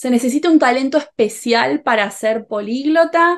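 Speaking with a Rioplatense accent, a woman's voice makes very wide pitch swings. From Rioplatense region (Argentina/Uruguay). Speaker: Spanish teacher youtuber; interviewer, Spanish teacher. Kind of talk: interview. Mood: warm, friendly. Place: home room. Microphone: video call.

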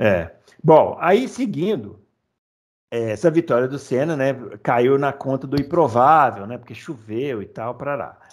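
A man speaks in a plain, everyday voice, pitched fairly high, with lively intonation. His pace is moderate, and the background is quiet. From Brazil. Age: 40s. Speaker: podcast host. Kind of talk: casual chat. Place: home room. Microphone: headset.

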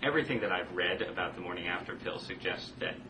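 Noticeable background noise runs through the clip. A man speaks in an American accent. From US Northeast, southern Connecticut. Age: 20s. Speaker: magazine writer and blogger. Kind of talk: casual political debate. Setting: remote video call from an office.

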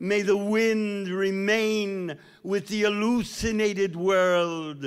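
In a quiet setting, a man with an American accent speaks very slowly in a high pitch with fairly even intonation. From United States. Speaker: poet. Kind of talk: poetry reading. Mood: solemn, mournful. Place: stage. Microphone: studio mic.

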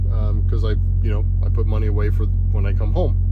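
A man talks with music playing in the background. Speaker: truck driver vlogger. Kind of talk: casual vlog chat. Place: car.

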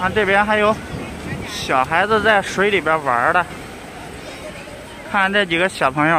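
Over crowd noise in the background, the speech moves at a fairly slow pace with long, frequent pauses and a dry sound with no echo. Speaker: vlogger. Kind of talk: casual talk to camera. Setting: outdoors. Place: beach. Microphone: phone near.

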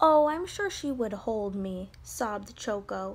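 Intonation rises and falls in a lively way. The reading voice is unforced.

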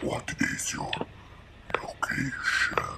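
A man performs a put-on character voice at an extremely high pitch. It sounds raspy and gravelly.

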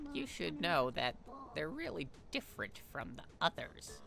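Clear background noise sits behind a man doing a put-on character voice at a fairly slow pace. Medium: game stream. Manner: chatty, encouraging.

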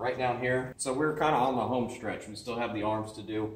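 The speaker is a man. Room echo is audible. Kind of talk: tutorial. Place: garage. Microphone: camera far.

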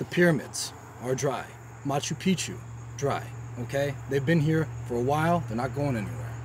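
Someone with an American accent speaks at a moderate pace with long, frequent pauses and ordinary pitch variation, the sound dry with no echo and light background noise behind it. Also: man. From Texas. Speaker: stonemason. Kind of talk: tutorial. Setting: outdoors. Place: open country.

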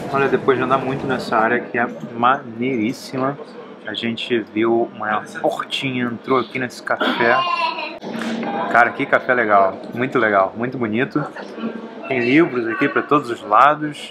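Music plays in the background. The speech moves at a moderate pace with long, frequent pauses. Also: man. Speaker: travel vlogger. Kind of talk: casual vlog chat. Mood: relaxed, pleased. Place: cafe. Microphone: phone near.

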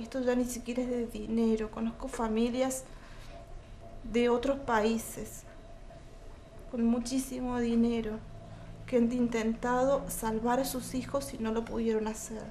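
A woman speaks slowly, a little below moderate, with long, frequent pauses and light background noise. Her fairly high voice stays monotone and flat. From Argentina. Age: 40s. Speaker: mother and caregiver of a terminally ill child. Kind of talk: interview testimony. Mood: serious, emotional. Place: home room.

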